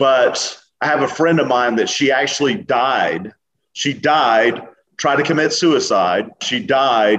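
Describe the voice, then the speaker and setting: A man speaks very slowly at a medium pitch. His loudness stays very even. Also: lively intonation. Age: 40s. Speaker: entrepreneur and author. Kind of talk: podcast interview. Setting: remote call.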